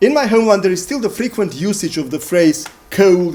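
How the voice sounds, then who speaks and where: Speaking at a fairly quick pace, a man with a Macedonian accent uses a high pitch and lively intonation. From Macedonia (former Yugoslavia). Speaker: playwright and lecturer. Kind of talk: performance lecture.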